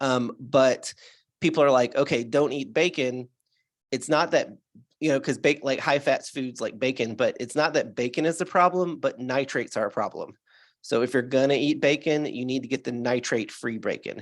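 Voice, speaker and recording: A man with a fairly high pitch speaks at a moderate pace with ordinary pitch variation, an unremarkable speaking voice. The recording is very clean, the background silent. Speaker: alternative health doctor. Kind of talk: interview answer.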